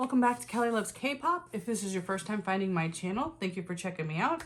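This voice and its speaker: Against noticeable background noise, a woman at a medium pitch talks at a fairly quick pace with lively intonation. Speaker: tarot reader. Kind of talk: tarot reading monologue to camera. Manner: casual, chatty.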